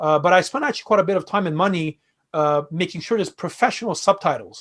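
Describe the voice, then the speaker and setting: In a Quebec accent, a man with a high voice and ordinary pitch variation speaks at a very fast pace against a quiet background. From Quebec, Canada (Montreal, Armenian family). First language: Armenian (also French). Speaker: fintech and crypto expert. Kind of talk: interview conversation. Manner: hesitant, many fillers.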